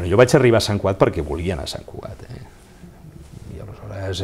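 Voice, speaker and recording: Over light background noise, a man with a very deep, low pitch and a dark, mellow tone sounds somewhat breathy as he speaks with lively intonation. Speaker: lawyer and former mayor; lawyer, former mayor. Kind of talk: interview. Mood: calm, reflective. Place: office. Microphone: lapel.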